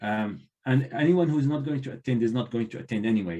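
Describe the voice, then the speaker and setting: A man with a non-native accent talks in a dark, mellow tone at medium pitch, with ordinary pitch variation. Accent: non-native English accent, clearly noticeable. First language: not English. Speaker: university librarian and trainer. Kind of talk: conference talk Q&A.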